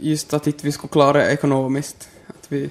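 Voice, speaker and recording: Noticeable background noise behind a man's fairly high voice, at a moderate pace. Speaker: young father. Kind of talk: interview.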